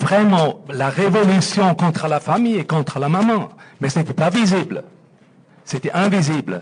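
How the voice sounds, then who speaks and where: A man's high-pitched voice with a Swiss German accent and ordinary pitch variation. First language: Swiss German (speaking French). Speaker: audience member. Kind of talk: audience question.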